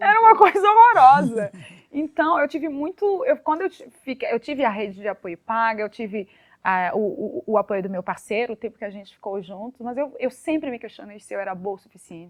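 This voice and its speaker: The voice moves at a fairly quick pace with very wide pitch swings and big swings in loudness. The sound is dry and close, with no echo. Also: woman, fairly high pitch for a woman. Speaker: podcast guest. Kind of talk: casual chat. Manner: halting.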